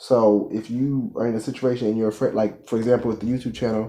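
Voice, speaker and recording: A man speaks at a very fast pace in a dark, mellow tone. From United States. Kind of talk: motivational talk to camera. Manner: casual.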